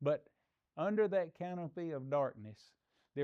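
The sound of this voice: The voice has a dark, mellow tone, clear and smooth, with ordinary pitch variation. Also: man.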